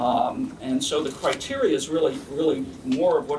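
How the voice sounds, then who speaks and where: Noticeable noise fills the background. The voice carries an American accent. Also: man. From New York. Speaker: architect, committee chair. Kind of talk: press conference. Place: meeting room.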